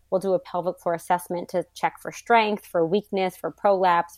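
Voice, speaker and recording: This woman has an ordinary speaking voice at medium pitch and a moderate pace. The recording is very clean with a silent background, and the sound is dry and close with no echo. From US South, New Orleans. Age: 40s. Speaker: pelvic floor physical therapist. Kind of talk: casual interview.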